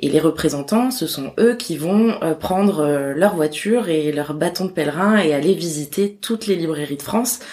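With an ordinary speaking voice, a woman speaks at a moderate pace in a fairly low pitch, her intonation lively. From Corsica. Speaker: publishing house bookseller liaison. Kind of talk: interview.

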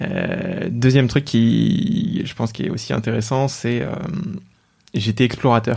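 His intonation is lively as this man talks very slowly at a medium pitch. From Paris region, France. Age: 20s. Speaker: mental health startup founder. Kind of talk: casual interview conversation. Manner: hesitant, many fillers and repetitions.

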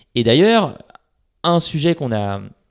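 This is a man recorded very cleanly against a silent background. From France, Paris. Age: 30s. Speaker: startup CEO. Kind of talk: interview. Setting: at home, large echoey room.

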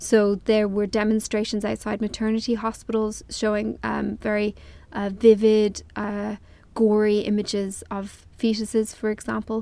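A woman with an Irish accent speaks at a moderate pace and a fairly high pitch. Her tone is dark and mellow, her intonation monotone and flat. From Ireland. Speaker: journalist. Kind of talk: interview. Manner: hesitant, many fillers.

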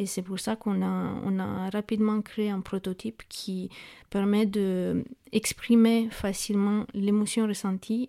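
The speaker uses a Romanian accent and a dark, mellow tone with monotone, flat intonation, recorded very clean against a silent background with a dry, close sound and no echo. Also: woman. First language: Romanian (speaking French). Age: 30s. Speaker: startup co-founder. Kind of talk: interview. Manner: halting.

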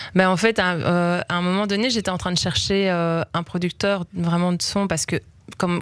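A woman speaks in a fairly low pitch at a moderate pace. Hers is an unremarkable speaking voice. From Belgium, Liège. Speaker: singer. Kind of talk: interview.

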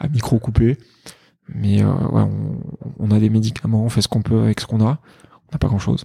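Long, frequent pauses break up his speech. Otherwise the man keeps a moderate pace. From France, partly raised in Greece. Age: 30s. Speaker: emergency doctor and app creator. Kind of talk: casual interview. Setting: at the host's home.

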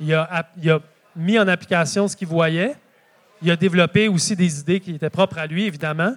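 This man speaks with a Quebec accent. His pitch is high. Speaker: market gardener and author. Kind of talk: live public talk. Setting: stage with audience.

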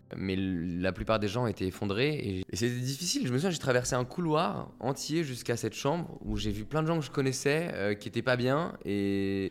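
A man speaks in a normal speaking voice at a medium pitch and a moderate pace. His intonation is lively, with hardly any pauses. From Paris suburbs, France. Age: 20s. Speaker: author and songwriter. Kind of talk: personal testimony.

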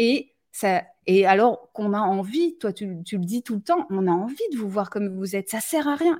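A woman's somewhat breathy voice, dark and mellow in tone yet fairly high in pitch, moves at a moderate pace with lively intonation. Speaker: live stream host. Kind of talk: live stream conversation. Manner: direct.

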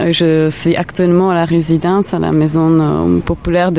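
A woman talks at a fairly slow pace with a Czech accent. Noticeable background noise runs under her voice. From Czech Republic. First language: Czech (speaking French). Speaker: art curator. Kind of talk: interview. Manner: halting.

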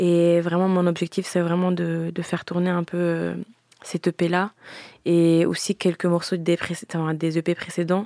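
A woman speaks at a fairly low pitch with a dark, mellow tone and monotone, flat intonation. Her pace is fairly slow and her loudness very even. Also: dry, close sound with no echo. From grew up between Italy and France, multilingual surroundings. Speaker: singer. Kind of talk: interview. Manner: halting, many fillers.

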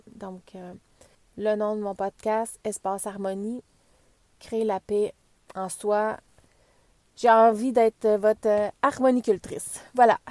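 Speaking very slowly with long, frequent pauses, a woman with a Quebec accent uses a fairly high pitch and monotone, flat intonation, her loudness swinging widely. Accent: Québécois French. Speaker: wellness podcaster, former medical technologist. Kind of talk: casual podcast introduction monologue. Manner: hesitant, many fillers and repetitions.

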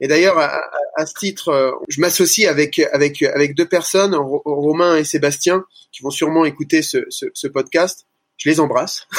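Speaking at a moderate pace, a man with a fairly high voice keeps his intonation fairly even while his loudness swings widely. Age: 30s. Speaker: gym franchise owner. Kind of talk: interview. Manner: halting.

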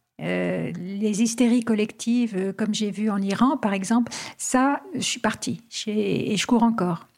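Her voice is fairly high and somewhat breathy, with ordinary pitch variation. The woman speaks at a very slow pace. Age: 70s. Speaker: adventurer and travel writer. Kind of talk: interview. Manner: hesitant.

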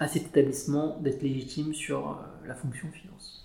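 At a moderate pace, a man speaks in a fairly high pitch with vocal fry, and audible room echo surrounds his voice. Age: 30s. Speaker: chartered accountant. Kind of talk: interview. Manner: hesitant, many fillers.

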